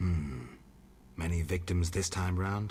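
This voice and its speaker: A man puts on a character voice with a very deep, low pitch and a deadpan tone. He speaks fairly slowly over clear background noise. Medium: actual play. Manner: terse, deadpan.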